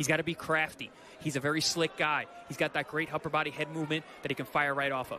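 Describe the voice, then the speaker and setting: A man with a fairly high pitch speaks in a confident tone at a very fast pace, with noticeable background noise behind him. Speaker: boxing analyst. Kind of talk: live boxing commentary. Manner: confident, instructive analyst tone, rattling off tips.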